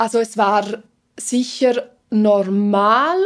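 The woman's fairly high voice shows ordinary pitch variation. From Switzerland, Engadin (Graubünden). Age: 20s. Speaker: TV presenter and journalist. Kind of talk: interview conversation. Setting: studio.

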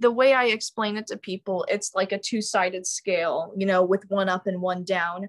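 A woman with a plain, everyday voice and an American accent speaks at a moderate pace and medium pitch, with fairly even intonation, hardly any pauses and a dry, close sound with no echo. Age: young. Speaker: music student. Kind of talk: casual chat.

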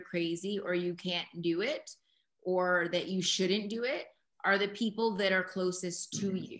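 A woman talks at a fairly slow pace with a medium pitch. She has an unremarkable speaking voice. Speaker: podcast host and mentor. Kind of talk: interview with student group.

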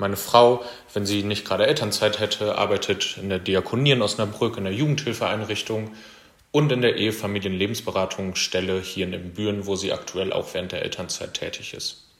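In an unremarkable speaking voice, a man talks at a fairly quick pace and fairly low pitch with fairly even intonation. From Germany, Kreis Steinfurt (Münsterland). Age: 20s. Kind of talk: self-introduction monologue.

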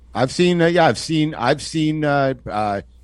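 A man speaks at a moderate pace. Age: 40s. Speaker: podcast host. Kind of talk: casual chat.

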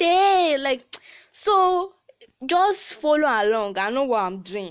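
Her high voice full of very wide pitch swings, a woman speaks in an animated tone. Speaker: podcast host. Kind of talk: casual chat; tutorial.

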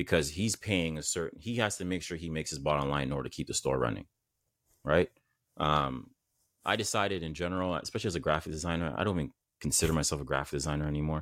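Very deep and low in pitch, a man speaks at a very fast pace with vocal fry and ordinary pitch variation. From Canada, Saint Vincent family. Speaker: entrepreneur, mental health brand founder. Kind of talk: casual interview chat.

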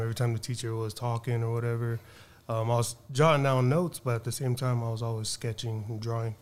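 A man with a western US accent speaks at a moderate pace in a medium pitch. His intonation is monotone and flat, and the recording is very clean with a silent background. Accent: American (western US). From Reno, Nevada. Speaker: artist. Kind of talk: casual interview.

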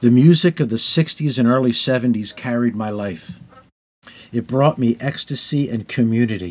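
This man has an unremarkable speaking voice, medium in pitch with ordinary pitch variation. He speaks at a fairly slow pace on a very clean recording with a silent background. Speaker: memoirist reading his journal. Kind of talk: reading aloud.

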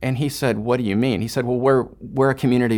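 This is an unremarkable speaking voice from a man at medium pitch. His pitch varies in an ordinary way. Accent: American. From Houston, Texas. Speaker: missionary. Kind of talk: interview.

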